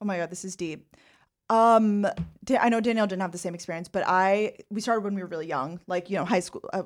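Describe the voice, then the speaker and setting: On a very clean recording with a silent background, a woman with an American accent talks at a very fast pace, with a medium pitch and fairly even intonation. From New York, Long Island. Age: 20s. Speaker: content creator. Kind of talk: casual chat.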